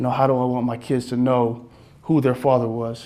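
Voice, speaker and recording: Speaking fairly quickly with an American accent, a man uses a medium pitch, a dark, mellow tone and monotone, flat intonation. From US West Coast, Inglewood, Los Angeles. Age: 20s. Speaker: college football player, motivational speaker. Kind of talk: motivational talk. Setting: speaking to an audience of salespeople. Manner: halting, many fillers.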